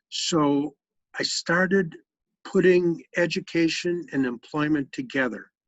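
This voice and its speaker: With an American accent, a man talks at a fairly slow pace in a high voice, his intonation lively. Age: 60s. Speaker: retired education program director. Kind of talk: family interview.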